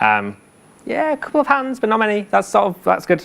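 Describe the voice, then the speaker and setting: This male speaker has a British accent. The pitch of his voice rises and falls very widely. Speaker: conference speaker, software engineer. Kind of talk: conference talk. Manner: fast.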